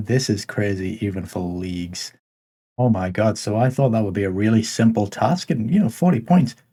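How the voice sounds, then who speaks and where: Somewhat breathy and dark, mellow in tone, a man talks at a moderate pace and a fairly low pitch with ordinary pitch variation. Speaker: gaming youtuber. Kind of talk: gameplay commentary. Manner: casual.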